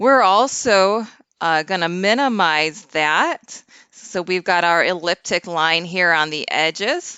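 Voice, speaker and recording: Very slowly, a woman talks at a fairly low pitch with ordinary pitch variation. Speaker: bible prophecy youtuber. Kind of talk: screen-share tutorial. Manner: loud; casual, hesitant with fillers.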